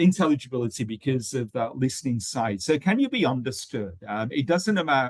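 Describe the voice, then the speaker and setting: This speaker talks at a fairly quick pace with lively intonation and a British accent. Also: man. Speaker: webinar host and English teaching trainer. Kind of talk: educational webinar discussion. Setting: online webinar. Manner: hesitant, many fillers.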